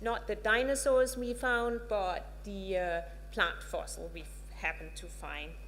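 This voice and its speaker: With a Danish accent, a woman speaks at a fairly slow pace, her loudness swinging widely amid audible room echo. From Denmark. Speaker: professor. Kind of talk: lecture. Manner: halting, many filler words.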